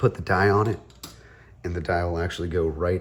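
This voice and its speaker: A man with a relaxed tone speaks in a very deep, low voice that is somewhat breathy, his intonation fairly even. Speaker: tie-dye artist. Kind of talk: tutorial talk to camera. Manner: casual, relaxed.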